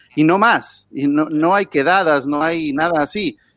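A man with a Mexican accent and fairly high pitch speaks in a dry, close sound with no echo against a quiet background. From Mexico. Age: 40s. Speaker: listener calling in. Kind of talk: casual chat. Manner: animated.

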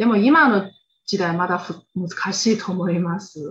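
A woman speaks with a Chinese accent. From China, Xinjiang. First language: Chinese (speaking Japanese). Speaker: guest. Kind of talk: casual chat. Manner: halting.

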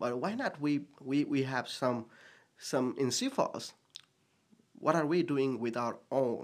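A man with a Nepali accent, fairly high in pitch, with ordinary pitch variation, a very slow pace and long, frequent pauses. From Bhutan/Nepal. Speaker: pastor. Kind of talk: casual interview chat.

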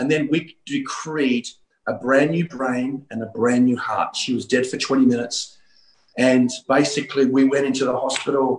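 Here a man with an Australian accent speaks at a medium pitch. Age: 50s. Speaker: pastor. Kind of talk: revivalist preaching and prophetic decree in an online healing meeting. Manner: animated, urgent exhortation with repeated 'Come on' interjections; fast, run-on delivery with stumbling repeats.

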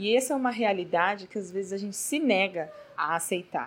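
A woman with a plain, everyday voice, medium pitch, lively intonation and a moderate pace. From Brazil, São Paulo. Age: 30s. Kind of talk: devotional talk. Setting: not a proper recording space.

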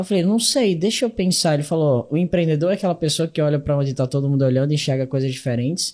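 A man with an unremarkable speaking voice, fairly high-pitched, at a fairly quick pace with ordinary pitch variation, on a very clean recording with a silent background. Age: 20s. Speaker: young entrepreneur and speaker. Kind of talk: interview.

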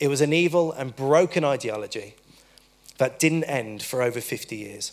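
Delivered at a moderate pace with ordinary pitch variation, this is an ordinary speaking voice. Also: man, fairly high pitch for a man. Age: 20s. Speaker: preacher. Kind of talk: sermon. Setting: church.

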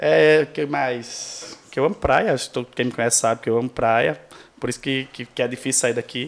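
A man talks at a moderate pace in a medium-pitched voice with ordinary pitch variation. He has a plain, everyday voice. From Brazil, Rio Grande do Norte interior (Seridó). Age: 30s. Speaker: podcast guest. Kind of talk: casual chat.

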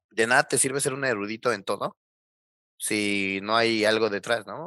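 A man at medium pitch with a bright, sharp tone and fairly quick pace, dry and close with no echo over a quiet background. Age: 20s. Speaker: electronics engineer, hardware developer. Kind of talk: casual interview.

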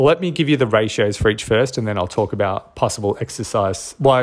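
A man with an Australian accent, fairly low in pitch, at a fairly quick pace. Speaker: podcast host and strength coach. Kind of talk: solo podcast monologue. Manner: casual with frequent filler words.

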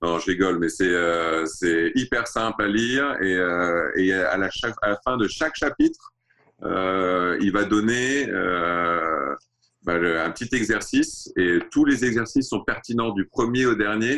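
A man speaks at a very slow pace in a bright, sharp tone. His pitch is fairly low, with ordinary variation. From Saudi Arabia (Riyadh), French-born in Alsace. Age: 40s. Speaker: watch brand founder. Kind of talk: interview. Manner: halting.

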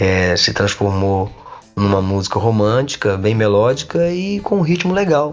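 A man with an ordinary speaking voice talks at a moderate pace. His intonation is lively. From Brazil, Minas Gerais (Coronel Fabriciano). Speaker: singer-songwriter. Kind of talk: casual interview chat.

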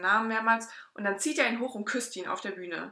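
A woman speaks at a medium pitch. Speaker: podcast co-host. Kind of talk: casual chat.

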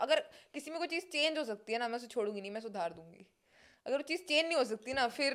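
The speaker is a woman. Her intonation is lively. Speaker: comedian and content creator. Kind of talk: casual chat. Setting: studio.

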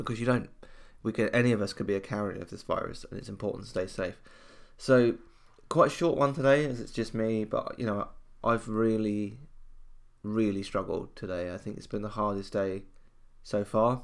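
A man with a British accent at medium pitch, ordinary pitch variation and a moderate pace, with long, frequent pauses, in a very clean recording with a silent background. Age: 20s. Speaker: podcast host. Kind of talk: personal solo monologue. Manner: halting.

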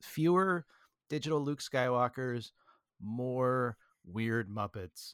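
A man with lively intonation speaks at medium pitch, the recording very clean with a silent background and a dry, close sound with no echo. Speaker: podcast co-host. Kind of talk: casual chat. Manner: loud.

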